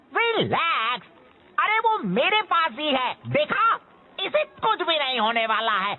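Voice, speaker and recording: In a put-on character voice, the speaker goes fairly slowly at a high pitch with very wide pitch swings. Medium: fan dub. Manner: whiny, put-upon.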